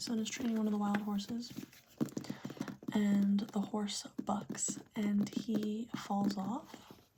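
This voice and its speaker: Over noticeable background noise, a woman speaks at a very slow pace in a gentle tone, her intonation monotone and flat. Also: medium pitch for a woman. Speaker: ASMR creator. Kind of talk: calm retelling of a parable. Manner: soft, gentle, slow.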